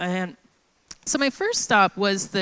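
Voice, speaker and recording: A woman speaks loudly in a bright, sharp tone. The sound is dry and close, with no echo. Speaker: conference speaker. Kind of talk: conference talk. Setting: stage with audience. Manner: casual, filler-heavy.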